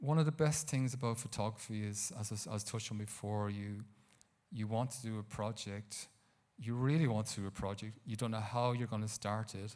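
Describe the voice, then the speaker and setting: An Irish-accented man talks at a fairly quick pace with a medium pitch and ordinary pitch variation. The recording is very clean, with a silent background. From Ireland, County Carlow. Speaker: photographer. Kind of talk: talk to a live audience. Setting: stage with audience. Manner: halting.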